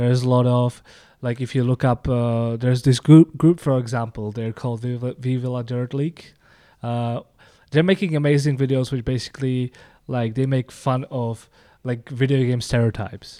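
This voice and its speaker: A man's dark, mellow voice in a Czech accent, with fairly even intonation, on a very clean recording with a silent background. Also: medium pitch for a man, moderate pace. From Czech Republic. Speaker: game designer and Twitch streamer. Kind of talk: casual chat.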